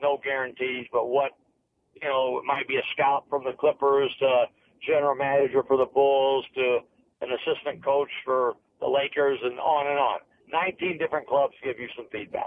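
Amid light background noise, a man talks in a monotone, flat way at a moderate pace, with a dry sound and no echo. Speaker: basketball coach. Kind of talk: interview answer. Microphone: phone line.

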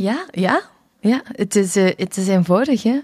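A woman talks at a very slow pace with ordinary pitch variation. The sound is dry with no echo, and the background is quiet. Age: 30s. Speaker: dancer and dance workshop teacher; dance workshop teacher. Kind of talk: casual chat. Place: studio. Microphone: studio mic.

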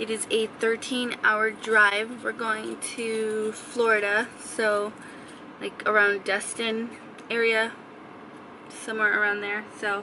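A woman talks at a very slow pace in a monotone, flat intonation. The sound is dry with no echo, with light background noise. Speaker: vlogger. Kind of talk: casual vlog chat. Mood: calm, sleepy morning. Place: car. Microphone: phone near.

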